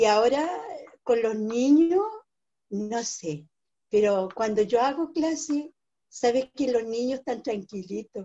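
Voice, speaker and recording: A woman's fairly high voice with a Chilean accent, at a very slow pace over a quiet background. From Chile, Biobío region (Arauco); Biobío region, Chile. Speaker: writer and cultural manager; interviewee. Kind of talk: interview; interview answer. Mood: warm, grateful. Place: home room. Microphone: video call.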